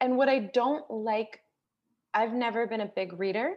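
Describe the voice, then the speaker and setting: A woman with a plain, everyday voice speaks at a moderate pace. Her pitch is fairly high, with an American accent. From United States. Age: 30s. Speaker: television commercial producer and author. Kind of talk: casual chat.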